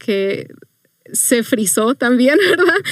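A plain, everyday voice at a fairly slow pace, with a dry, close sound and no echo. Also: woman. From Mexico, Chihuahua. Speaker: youth minister. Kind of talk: testimony.

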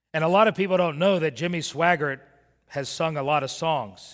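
A man with an American accent speaks in a normal speaking voice, pitched fairly high, at a moderate pace with ordinary pitch variation. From Miami, Florida. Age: 50s. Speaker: pastor. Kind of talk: sermon.

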